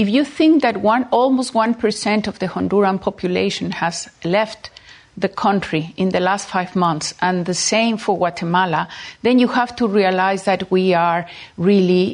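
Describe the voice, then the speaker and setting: A woman with a Spanish accent talks at a moderate pace in a medium pitch, using ordinary pitch variation. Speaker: diplomat. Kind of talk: political interview. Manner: halting.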